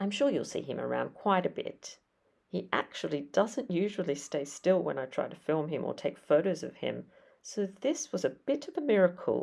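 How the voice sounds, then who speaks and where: A woman speaks with an Australian accent at a moderate pace. The recording is very clean, with a silent background. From Australia, Sydney. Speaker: history podcaster and content creator. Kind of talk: casual vlog talk. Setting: at home, kitchen.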